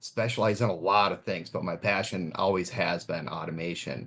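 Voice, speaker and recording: A man speaks with a Minnesotan accent in a very deep, low pitch. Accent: Minnesota. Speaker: pool automation specialist. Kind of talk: webinar presentation. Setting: online webinar.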